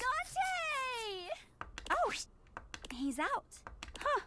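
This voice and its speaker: A woman does a put-on character voice that is squeaky and extremely high in pitch. Her pitch swings are very wide. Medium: video game. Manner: peppy, folksy.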